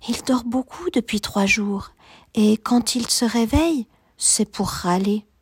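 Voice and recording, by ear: Someone reads aloud here in a natural voice.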